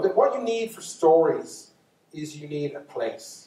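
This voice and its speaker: The speaker is a man. He talks with a Dublin accent. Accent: Irish (Dublin). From Ireland. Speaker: storyteller. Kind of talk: storytelling lecture to live audience. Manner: casual, unscripted, with false starts.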